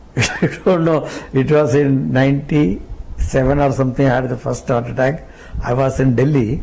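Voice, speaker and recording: A man talks at a moderate pace with medium pitch and ordinary pitch variation. Noticeable background noise sits behind him. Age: 70s. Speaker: devotee. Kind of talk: interview.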